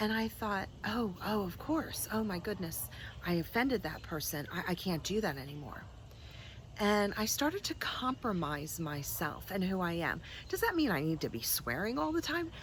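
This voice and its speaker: The voice, with an American accent, is somewhat breathy and moves at a moderate pace. Its pitch swings very widely. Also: woman, medium pitch for a woman. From New Jersey, US. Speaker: spiritual teacher. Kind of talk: vlog monologue. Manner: casual, unscripted.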